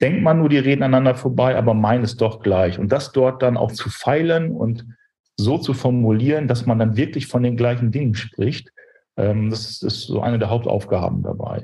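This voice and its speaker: A man talks at medium pitch in a somewhat breathy voice. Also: ordinary pitch variation, moderate pace. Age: 40s. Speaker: brand strategy consultant and business owner. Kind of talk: interview.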